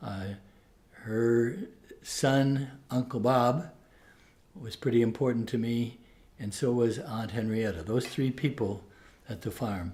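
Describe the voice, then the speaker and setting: A man's dark, mellow, somewhat breathy voice, very slow with long, frequent pauses. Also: medium pitch for a man, ordinary pitch variation. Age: 70s. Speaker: Jesuit priest and professor. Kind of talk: interview. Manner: halting.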